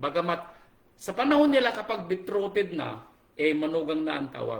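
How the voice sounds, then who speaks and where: A man speaks at a high pitch and fairly quick pace in an animated tone. Room echo is audible. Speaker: pastor. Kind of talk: sermon. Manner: animated, raising voice.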